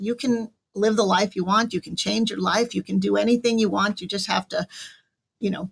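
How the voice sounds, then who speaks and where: Here a woman with an American accent uses a plain, everyday voice at medium pitch. She moves at a fairly quick pace with fairly even intonation. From northern New Jersey. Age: 60s. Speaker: author and business owner. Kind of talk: radio interview.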